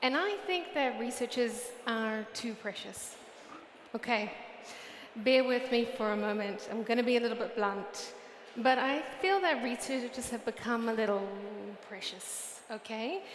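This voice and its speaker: A woman with a New Zealand accent and a high pitch, at a fairly slow pace with ordinary pitch variation, amid audible room echo and noticeable background noise. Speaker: UX research director. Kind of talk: conference talk. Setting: stage with audience.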